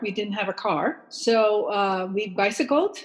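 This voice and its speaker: A woman with a Dutch accent and ordinary pitch variation. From Netherlands. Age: 70s. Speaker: long distance hiker and writer. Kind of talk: interview.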